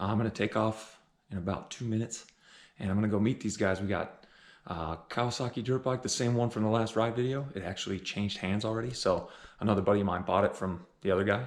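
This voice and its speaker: A quiet man at a very fast pace, fairly low in pitch, on a very clean recording with a silent background. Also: fairly even intonation. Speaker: dirt bike and ATV vlogger. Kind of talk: casual vlog. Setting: at home early morning. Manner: quiet, keeping voice down.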